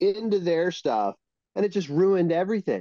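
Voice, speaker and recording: A high-pitched man's voice with a dark, mellow tone comes through dry and close, with no echo. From Hawaii. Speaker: cannabis breeder. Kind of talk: casual interview chat.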